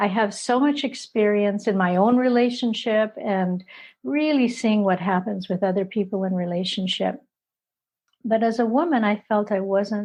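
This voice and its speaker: A woman with a medium-pitched, somewhat breathy voice lets her pitch vary in an ordinary way. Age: 70s. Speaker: couple therapist. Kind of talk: interview. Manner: halting.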